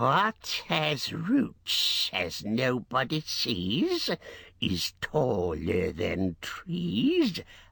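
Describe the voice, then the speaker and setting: Using a hissing, put-on character voice, a man speaks at a very slow pace in a very clean recording with a silent background. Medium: read story. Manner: talks to himself, wheedling, broken grammar.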